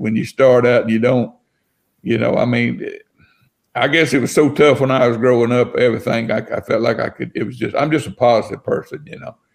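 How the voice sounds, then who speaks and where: A medium-pitched man talking at a fairly quick pace with an Alabama accent. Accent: Southern US (Alabama). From US South. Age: 60s. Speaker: house flipper. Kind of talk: casual chat.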